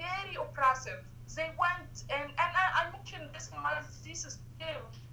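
A woman with an Arabic accent talks at a moderate pace. Audible room echo and noticeable background noise surround her voice. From Egypt, Cairo. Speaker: human rights activist. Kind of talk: interview.

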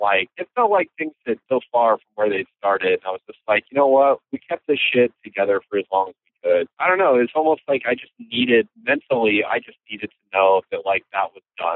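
A man with an American accent and medium pitch speaks with hardly any pauses and big swings in loudness. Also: fairly quick pace. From US Midwest, Iowa (Marshalltown). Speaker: hardcore band vocalist. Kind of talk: casual interview.

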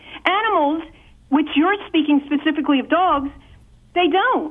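Speaking at a moderate pace, a woman uses an extremely high pitch. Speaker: caller. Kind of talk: call-in argument. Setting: phone call. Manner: argumentative.

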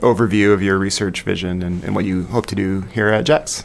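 A man with a fairly low pitch talks at a fairly quick pace amid noticeable background noise. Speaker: podcast host. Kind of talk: casual chat.

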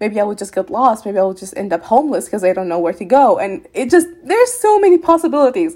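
A woman talks very fast with hardly any pauses, in a high pitch and a dark, mellow tone. Her pitch swings very widely and her loudness rises and falls in big swings. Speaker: former refugee, podcast participant. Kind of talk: interview, personal reflection. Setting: video call.

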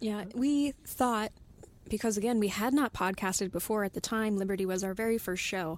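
With an American accent and an unremarkable speaking voice, a woman speaks at a moderate pace in a very clean recording with a silent background. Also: fairly high pitch for a woman, ordinary pitch variation. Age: 20s. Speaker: podcast writer. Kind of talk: casual chat.

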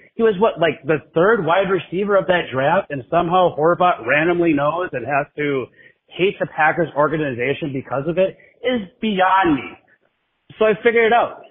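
This man's high-pitched voice, with an American accent, carries lively intonation. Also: moderate pace. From Wisconsin. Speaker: caller. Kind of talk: voicemail rant.

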